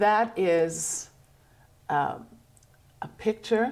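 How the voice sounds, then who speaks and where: Noticeable background noise is present. Over it, a woman talks. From Germany. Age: 80s+. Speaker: artist. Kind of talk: casual chat.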